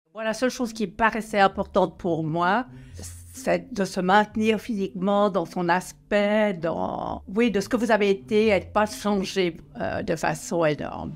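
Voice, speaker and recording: A woman's medium-pitched voice, fairly slow, with ordinary pitch variation and music in the background. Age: 80s+. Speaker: retired elected politician. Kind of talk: interview answer.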